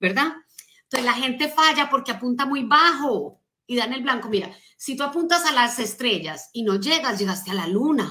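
In a high, bright, sharp voice, a woman swings her pitch very widely over a quiet background. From Colombia. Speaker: motivational speaker and business coach; motivational speaker, business coach. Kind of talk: motivational talk on a live stream. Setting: social media live stream. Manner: animated. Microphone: phone near.

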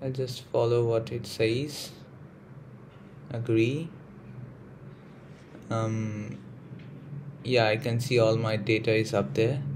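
A man with an American accent speaks at a very slow pace with a medium pitch, ordinary pitch variation and long, frequent pauses. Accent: Indian with American and British touches. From India. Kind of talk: casual tech tutorial to camera. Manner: hesitant, casual.

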